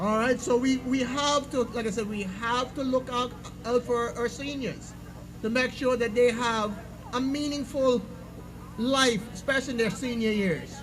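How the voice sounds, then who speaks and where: Crowd noise fills the background as a man speaks at a fairly slow pace. His pitch is extremely high, and his intonation stays fairly even. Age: 60s. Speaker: political candidate. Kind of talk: campaign speech. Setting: public meeting with audience.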